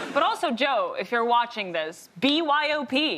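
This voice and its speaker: A woman projects her raised voice, her pitch swinging very widely. Noticeable background noise is present. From Russia. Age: 30s. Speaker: comedian. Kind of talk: stand-up; panel show banter.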